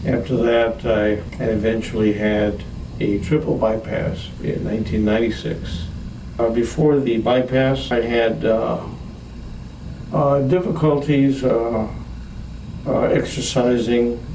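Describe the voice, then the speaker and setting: A man's medium-pitched voice at very even loudness, with long, frequent pauses, audible room echo and noticeable background noise. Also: ordinary pitch variation, fairly slow pace. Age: 60s. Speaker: heart patient giving testimonial. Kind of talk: testimony. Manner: halting, many fillers and repetitions.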